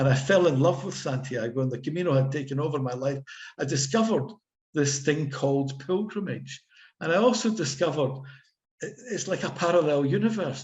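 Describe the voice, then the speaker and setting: Speaking fairly quickly with an audible room echo, a man with a Scottish accent uses a fairly high pitch, somewhat breathy delivery, and ordinary pitch variation. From Scotland. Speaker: author and pilgrim. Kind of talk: casual chat.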